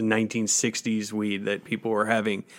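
A man with an American accent, a normal speaking voice, medium pitch and a fairly quick pace. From Colorado. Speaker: cannabis topical product maker, grower, former radio worker. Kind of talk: interview conversation. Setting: studio.

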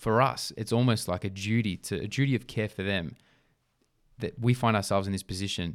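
A man with an Australian accent speaks at a fairly quick pace with a fairly low pitch and ordinary pitch variation. The recording is very clean, with a silent background. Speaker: podcast co-host, sporting brand founder. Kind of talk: casual chat.

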